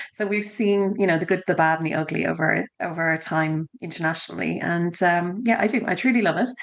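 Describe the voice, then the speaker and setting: Over noticeable background noise, a woman with an Irish accent and a fairly low pitch speaks at a fairly quick pace with hardly any pauses and ordinary pitch variation. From Ireland (Dublin). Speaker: education consultant. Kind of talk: podcast interview.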